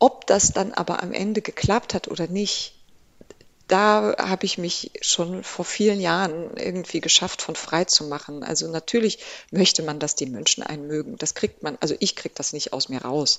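A woman talks at a moderate pace. Her medium-pitched voice has lively intonation. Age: 40s. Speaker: classical contemporary singer. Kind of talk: interview. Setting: studio. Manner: animated.

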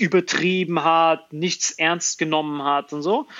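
This man's voice is high-pitched, with fairly even intonation. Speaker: stand-up comedian. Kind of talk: casual chat. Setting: remote call from a hotel room. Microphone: poor connection quality over hotel wifi.

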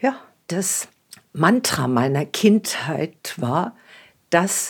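Her fairly low voice is somewhat breathy, and this woman's pitch swings very widely. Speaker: interviewee, widowed pensioner. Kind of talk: documentary interview.

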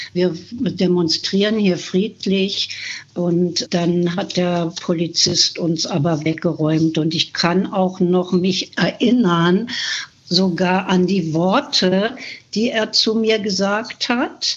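A woman speaks at a very slow pace and a medium pitch. Her loudness stays very even. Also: ordinary pitch variation. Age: 70s. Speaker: climate activist. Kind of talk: testimony.

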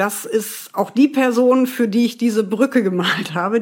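A woman speaks at a fairly slow pace with ordinary pitch variation. Hers is an unremarkable speaking voice. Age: 40s. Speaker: former homeless person. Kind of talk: interview testimony. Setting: remote call from home.

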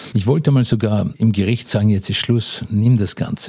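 A man talks at a fairly quick pace in a dark, mellow tone with fairly even intonation. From Austria, Vienna. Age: 60s. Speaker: businessman in inheritance dispute. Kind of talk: interview.

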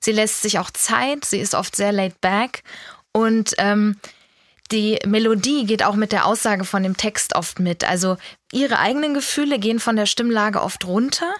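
A woman with a normal speaking voice talks at a moderate pace, her pitch varying in an ordinary way and her loudness very even, in a very clean recording with a silent background. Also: fairly high pitch for a woman. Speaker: music editor. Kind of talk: casual chat.

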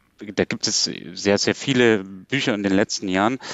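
With fairly even intonation, a man talks in a fairly low voice. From Saxony, Germany. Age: young. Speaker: philosopher and political scientist. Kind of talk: radio panel discussion.

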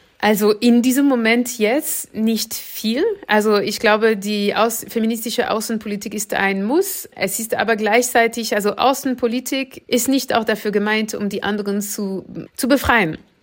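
At a moderate pace, a woman with a normal speaking voice talks in a fairly high pitch with fairly even intonation. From France. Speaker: political scientist and author. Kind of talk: interview.

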